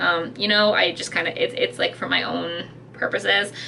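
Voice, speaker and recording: There is noticeable background noise as a woman speaks at a fairly quick pace with ordinary pitch variation. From Britain. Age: 30s. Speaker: YouTuber / vlogger. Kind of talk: casual vlog rant. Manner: animated, halting with many fillers.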